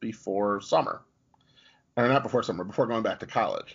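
A man speaks at a medium pitch with fairly even intonation. It is a plain, everyday voice. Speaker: podcast host and author. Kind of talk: casual interview chat.

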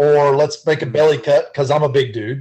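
A man with a Southern US accent speaks at a moderate pace. His voice is fairly high-pitched and somewhat breathy. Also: quiet background. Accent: Southern US (Georgia). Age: 40s. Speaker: guitar builder. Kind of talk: casual chat.

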